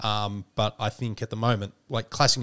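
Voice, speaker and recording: A man with an Australian accent and a fairly low pitch, in a dry, close sound with no echo and a very clean recording with a silent background. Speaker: podcast host. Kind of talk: casual chat.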